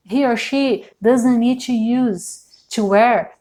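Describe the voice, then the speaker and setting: Speaking very slowly, a woman with a Brazilian accent has a dark, mellow tone. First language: Portuguese. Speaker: tarot reader. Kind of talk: tarot reading. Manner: halting, many fillers.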